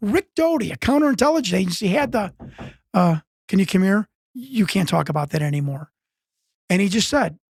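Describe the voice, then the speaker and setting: Speaking with an American accent at a moderate pace, a man uses a high pitch and very wide pitch swings, the sound dry and close with no echo. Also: long, frequent pauses. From US Midwest, Chicago. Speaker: UFO researcher and former wrestler. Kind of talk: interview conversation. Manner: halting, many repetitions and false starts.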